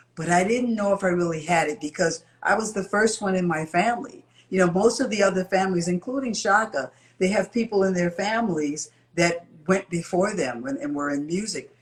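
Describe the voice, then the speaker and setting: With an American accent, a woman talks at a fairly quick pace against noticeable background noise. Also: medium pitch for a woman, lively intonation. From Chicago, US Midwest. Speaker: singer. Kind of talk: interview.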